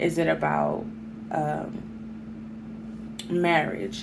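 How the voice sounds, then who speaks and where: There is audible room echo and noticeable background noise around this woman's voice. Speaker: tarot reader. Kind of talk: tarot reading to camera. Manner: slow.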